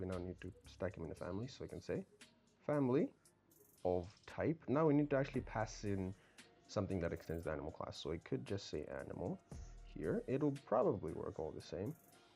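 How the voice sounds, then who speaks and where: A man's fairly quick speech with very wide pitch swings, music in the background. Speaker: programming tutor. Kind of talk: casual coding tutorial narration. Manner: fast.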